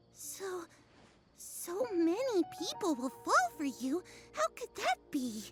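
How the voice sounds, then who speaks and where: Using a put-on character voice at an extremely high pitch, a woman speaks at a very slow pace with very wide pitch swings over faint background music. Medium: video game. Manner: archaic, theatrical phrasing.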